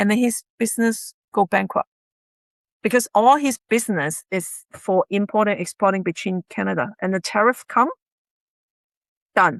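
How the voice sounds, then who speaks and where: In a Chinese accent, a woman speaks at a moderate pace and medium pitch with ordinary pitch variation, leaving long, frequent pauses. The background is quiet, and the sound is dry and close with no echo. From China. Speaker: realtor and investment dealer. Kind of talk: interview.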